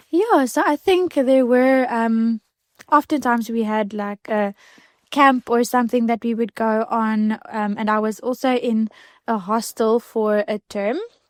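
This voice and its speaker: A woman with an Afrikaans accent, fairly high pitch and ordinary pitch variation at a fairly slow pace, the sound dry and close with no echo in a very clean recording with a silent background. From South Africa, Klein Karoo. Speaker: podcast guest. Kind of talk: testimony.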